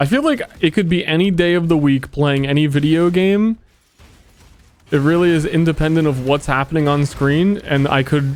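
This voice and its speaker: Over music in the background, a man with a fairly high pitch talks at a moderate pace and very even loudness. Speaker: video game streamer. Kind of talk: casual livestream chat. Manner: flat, unhappy-sounding.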